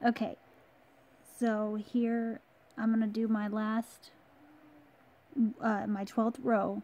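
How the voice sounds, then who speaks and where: Soft-spoken and very slow, a woman speaks in a dark, mellow tone with monotone, flat intonation. Her speech has long, frequent pauses. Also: fairly high pitch for a woman, very even loudness. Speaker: crochet tutorial creator. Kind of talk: tutorial. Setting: at home in her room.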